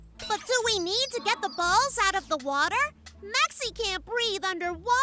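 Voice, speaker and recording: Loud background noise surrounds a cartoonish character voice pitched extremely high. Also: moderate pace. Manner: refers to itself in third person.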